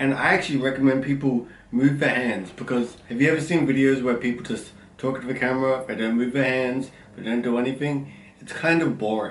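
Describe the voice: A loud man's voice at medium pitch, fairly even in intonation and fairly quick in pace, with audible room echo.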